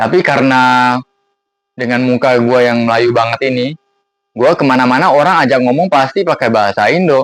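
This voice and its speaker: A man's medium-pitched voice with an English accent, at a moderate pace. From Singapore (Bukit Panjang). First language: English (speaking Indonesian). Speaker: vlogger. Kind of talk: casual vlog monologue. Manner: casual, conversational with fillers.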